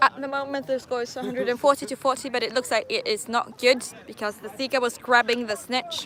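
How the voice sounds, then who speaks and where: A high-pitched woman's very fast speech with hardly any pauses and fairly even intonation, crowd noise in the background. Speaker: quidditch match commentator. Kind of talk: live commentary. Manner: casual, hesitant.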